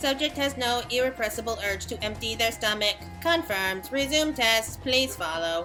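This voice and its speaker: Over clear background music, a put-on robotic character voice talks at a moderate pace with a fairly high pitch. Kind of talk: clinical test announcement.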